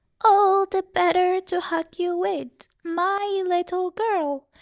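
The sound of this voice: A woman's put-on character voice, extremely high pitched and very slow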